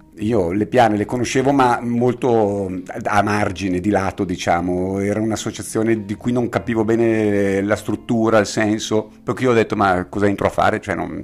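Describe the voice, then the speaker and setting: A man with an ordinary speaking voice, fairly low pitch and fairly even intonation at a moderate pace. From Bergamo, northern Italy. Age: 50s. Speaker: veterinarian and association president. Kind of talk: interview.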